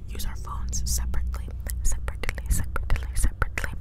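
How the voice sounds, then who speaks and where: Fairly quick speech from a woman over loud background noise. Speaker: ASMR creator. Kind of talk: casual vlog chat. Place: car. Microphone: lapel.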